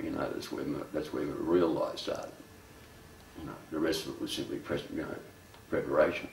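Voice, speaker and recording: A man speaks with audible room echo and light background noise. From Australia. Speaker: poet. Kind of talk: documentary interview answer. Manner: casual, halting, conversational. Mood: reflective, wry. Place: home room.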